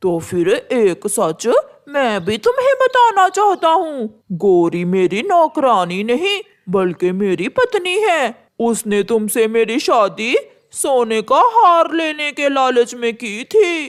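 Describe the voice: In a very clean recording with a silent background, a cartoonish character voice at a fairly high pitch moves very slowly through very wide pitch swings.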